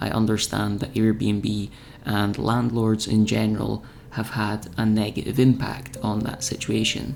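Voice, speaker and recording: Music plays in the background. A man speaks at a fairly slow pace and fairly low pitch. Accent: Scottish. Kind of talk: reflective vlog voice-over.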